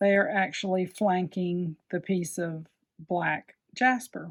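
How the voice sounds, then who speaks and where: A woman's very slow speech at medium pitch, with a Southern US accent. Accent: Southern US, self-described slurring. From US South. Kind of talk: tutorial. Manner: casual, chatty with fillers; enthusiastic.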